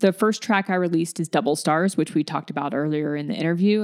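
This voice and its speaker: A woman with an American accent, a plain, everyday voice, fairly low pitch and ordinary pitch variation, on a very clean recording with a silent background. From US South, Alabama. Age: 40s. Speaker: singer-songwriter. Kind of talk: interview.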